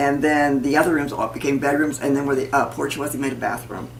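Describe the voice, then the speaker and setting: A woman with an American accent, very deep and low in pitch, with audible room echo. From US Midwest, St. Charles County, Missouri. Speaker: parishioner. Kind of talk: oral history interview. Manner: halting.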